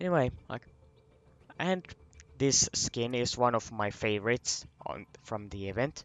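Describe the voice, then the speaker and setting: This man has a medium pitch and lively intonation. He goes at a fairly slow pace with long, frequent pauses. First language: not English. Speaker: gaming video creator. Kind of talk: casual game review commentary. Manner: halting, many restarts and fillers.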